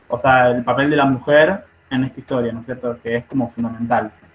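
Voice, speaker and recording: A man's unremarkable speaking voice at a medium pitch, with fairly even intonation. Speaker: nursing study group leader. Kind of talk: online study group lecture.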